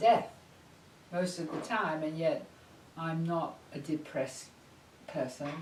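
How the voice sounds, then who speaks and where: A woman with an English accent at a fairly low pitch and very slow pace, amid audible room echo and noticeable background noise. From England. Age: 80s+. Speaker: psychologist. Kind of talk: interview.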